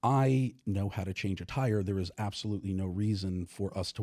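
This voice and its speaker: A man with an American accent speaks at a moderate pace in a dark, mellow tone and a fairly low pitch. The recording is very clean, with a silent background. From New York. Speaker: author and sex and relationship educator. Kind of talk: casual interview. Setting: studio.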